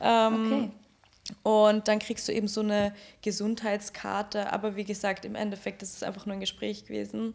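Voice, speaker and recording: A woman talks at a moderate pace. Her medium-pitched voice stays flat and monotone. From Austria, Graz. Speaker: sex worker. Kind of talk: casual chat.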